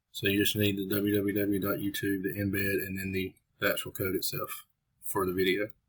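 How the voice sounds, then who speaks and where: A man speaks at a fairly quick pace with a fairly low pitch. His monotone, flat intonation sounds somewhat breathy. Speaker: web developer demonstrating software. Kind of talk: tutorial. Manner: casual.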